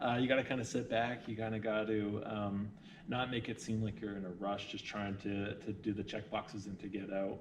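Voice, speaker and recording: A man's fairly low voice with a Canadian accent, moderate pace and fairly even intonation, amid noticeable background noise and audible room echo. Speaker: hospital social worker. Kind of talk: interview.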